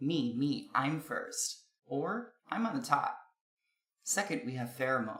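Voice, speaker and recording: In an American accent, a man with a high pitch and a bright, sharp tone speaks at a very slow pace, his pitch swinging very widely. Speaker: video essayist on linguistics. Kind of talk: scripted narration. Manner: formal.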